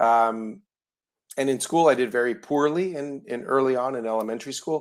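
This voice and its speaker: Speaking at a medium pitch for a man, he keeps a moderate pace and ordinary pitch variation. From Cuba, raised in South Florida. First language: Spanish. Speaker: entrepreneur. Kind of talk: interview.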